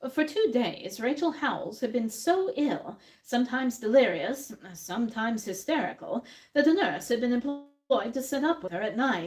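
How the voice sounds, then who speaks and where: Her pitch high and her intonation lively, a woman talks at a moderate pace. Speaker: dramatic reader. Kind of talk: live dramatic reading of a classic detective story. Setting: cafe, live audience.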